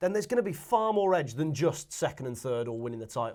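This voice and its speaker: Over a silent background in a very clean recording, a man talks at a very fast pace with very wide pitch swings. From Manchester. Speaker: football fan pundit. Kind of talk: casual debate.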